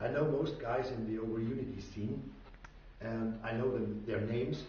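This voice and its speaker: There is noticeable background noise and audible room echo. A man with a strong non-native accent speaks at a medium pitch. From Austria. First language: German. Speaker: inventor / tinkerer. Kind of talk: tutorial. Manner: halting.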